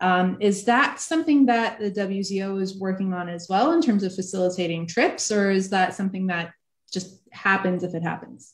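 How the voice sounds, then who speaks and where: Against a quiet background, a woman speaks at a moderate pace in a somewhat breathy voice with ordinary pitch variation. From New Jersey, US (moved to Israel at 13). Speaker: online event host and interviewer; interviewer, host. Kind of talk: interview. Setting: video call. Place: home room. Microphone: video call.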